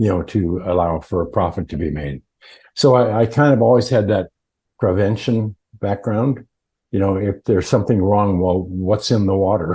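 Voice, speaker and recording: Against a quiet background, a man with an American accent speaks at a moderate pace in a fairly low, somewhat breathy voice with a dark, mellow tone and ordinary pitch variation. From Montana, US. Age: 80s+. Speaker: earthing company founder. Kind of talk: interview. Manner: halting.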